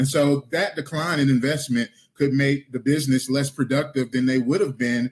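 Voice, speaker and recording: Fairly high-pitched male voice. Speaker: city council candidate. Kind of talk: candidate forum answer. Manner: fast.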